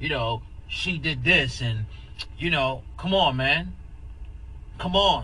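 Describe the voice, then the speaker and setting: Fairly slow speech from a man amid noticeable background noise. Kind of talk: casual chat.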